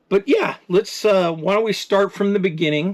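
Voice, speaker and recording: A man speaks at a moderate pace. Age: 60s. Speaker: RV travel vlogger. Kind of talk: casual personal storytelling to camera. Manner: casual, with frequent fillers and hesitations.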